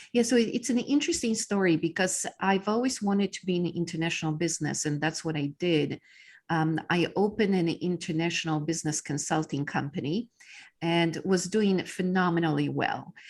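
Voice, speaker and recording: A woman with a Polish accent talks at a fairly quick pace against a quiet background, her fairly low pitch showing ordinary pitch variation. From Poland. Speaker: business coach. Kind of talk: interview. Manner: halting with many fillers.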